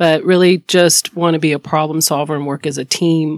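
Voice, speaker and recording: A woman with a North Carolina accent talks at a moderate pace in a very deep, low pitch. Her intonation is monotone and flat, and the sound is dry and close with no echo. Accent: Southern US (North Carolina). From US South, High Point, North Carolina. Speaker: lawyer, law firm owner. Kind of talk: casual interview chat.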